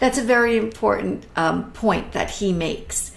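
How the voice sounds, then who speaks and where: With an enthusiastic tone, a woman's fairly high voice swings very widely in pitch, with audible room echo and noticeable background noise. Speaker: art educator hosting a live stream. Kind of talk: casual live-stream talk about art. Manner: halting, with many ums.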